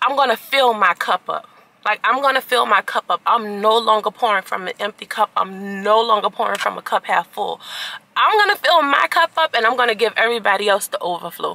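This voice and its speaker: Dry with no echo, the recording has a woman talking at a fairly quick pace with ordinary pitch variation. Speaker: vlogger. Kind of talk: casual vlog chat. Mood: earnest, motivational. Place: car. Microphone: phone near.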